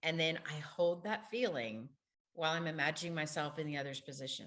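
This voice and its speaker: Moderate pace and ordinary pitch variation from a woman with a very deep, low voice. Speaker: university program director and former hostage negotiator. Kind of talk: online faculty workshop presentation.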